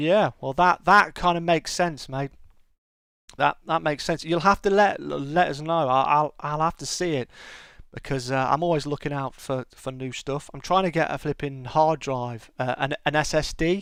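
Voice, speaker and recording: This very clean recording with a silent background features a man with a British accent speaking at a moderate pace, his fairly high voice showing ordinary pitch variation. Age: 40s. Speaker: gaming streamer. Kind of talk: casual chat. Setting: live stream. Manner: halting.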